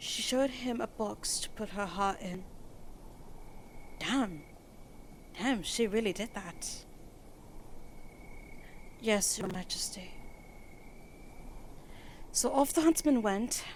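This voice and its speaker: With a British accent, a woman speaks very slowly at a fairly high pitch, using lively intonation and long, frequent pauses amid noticeable background noise. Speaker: ASMR roleplay performer. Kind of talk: bedtime story reading.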